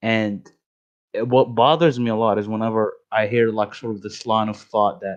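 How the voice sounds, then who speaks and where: At a moderate pace, a man talks at medium pitch with fairly even intonation against a quiet background. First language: not English. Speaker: voice chat participant. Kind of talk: casual chat. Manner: halting.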